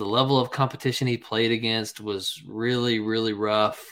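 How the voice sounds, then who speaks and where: A man with an American accent and an unremarkable speaking voice talks at a moderate pace and a medium pitch. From US South, North Carolina. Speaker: fantasy football podcast co-host. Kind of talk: casual chat.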